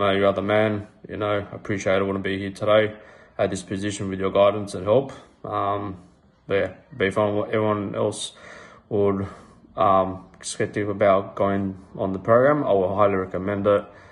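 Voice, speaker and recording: A man with an Australian accent speaks at a moderate pace in a fairly low voice. His intonation stays flat and monotone. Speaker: fitness coaching client. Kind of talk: testimonial. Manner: halting, many ums. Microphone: phone near.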